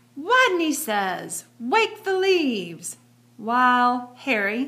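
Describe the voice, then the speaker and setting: A woman does a put-on, squeaky character voice at a high pitch, speaking very slowly with very wide pitch swings. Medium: read story.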